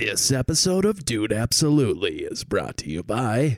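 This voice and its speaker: A man's put-on character voice at medium pitch, moving at a moderate pace. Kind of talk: announcer. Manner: stylized broadcast delivery.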